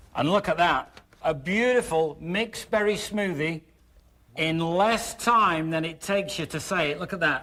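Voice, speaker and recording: This man's voice sits at a high pitch, with a bright, sharp tone. He sounds cheerful and upbeat. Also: ordinary pitch variation, moderate pace. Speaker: infomercial host. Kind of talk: TV infomercial pitch. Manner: cheerful, upbeat.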